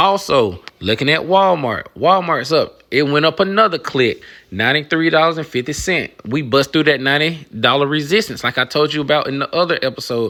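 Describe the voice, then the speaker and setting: A man's bright, sharp tone at a fairly quick pace. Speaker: retail investing YouTuber. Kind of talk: casual portfolio update vlog. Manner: animated.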